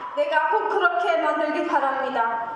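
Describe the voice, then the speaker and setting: Noticeable background noise and audible room echo accompany this woman as she talks. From Djibouti. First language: not Korean (Djibouti, self-taught Korean) (speaking Korean). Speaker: speech contest contestant. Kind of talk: oratory speech contest. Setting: stage with audience. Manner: formal.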